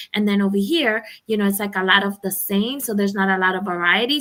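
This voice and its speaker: A woman talks with a Spanish accent at a medium pitch. Her pitch varies in an ordinary way. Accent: Spanish accent in English, noticeable. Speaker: talk show host. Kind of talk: casual chat.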